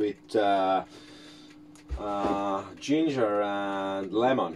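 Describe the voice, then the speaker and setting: Light background noise sits behind the speaker. He is a man with a non-native accent. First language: not English. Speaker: YouTuber making a cooking video. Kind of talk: casual vlog tutorial. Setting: home kitchen. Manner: hesitant, many fillers. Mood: playful, amused. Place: kitchen. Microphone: phone near.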